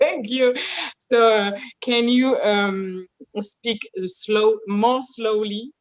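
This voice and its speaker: A woman talks at a fairly high pitch in a French accent, her intonation fairly even. Her pace is very slow, with long, frequent pauses. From France. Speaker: MMA fighter. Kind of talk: interview. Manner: halting, many fillers.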